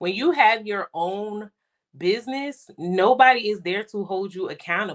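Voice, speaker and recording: A woman with an unremarkable speaking voice talks at a fairly slow pace, medium in pitch with ordinary pitch variation. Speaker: podcast co-host and spa owner. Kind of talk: casual chat.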